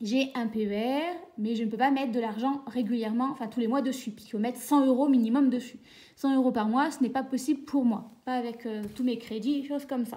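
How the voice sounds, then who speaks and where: A woman talks at a high pitch and a fairly quick pace. Her tone is dark and mellow, with fairly even intonation. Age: 30s. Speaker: budgeting vlogger and teacher. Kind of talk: casual vlog.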